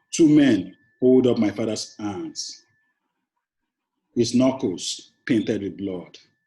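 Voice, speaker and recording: Speaking very slowly with long, frequent pauses, a man uses a dark, mellow tone at medium pitch with ordinary pitch variation. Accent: Nigerian. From Nigeria, Lagos. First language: Yoruba. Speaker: poet. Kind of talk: poetry reading; interview. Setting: classroom.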